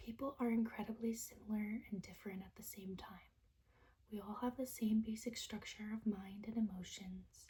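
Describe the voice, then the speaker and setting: The speaker whispers. The pace is moderate. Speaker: ASMR creator. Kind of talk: poetry reading. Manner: whispered.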